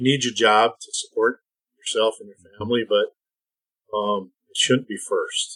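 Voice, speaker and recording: Speaking at a moderate pace with an Upper Midwest accent, a man leaves long, frequent pauses and makes big swings in loudness, the sound dry and close with no echo. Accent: Upper Midwest American. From US Midwest (Minnesota/Iowa). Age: 60s. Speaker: retired feed industry executive. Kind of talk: podcast interview. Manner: halting.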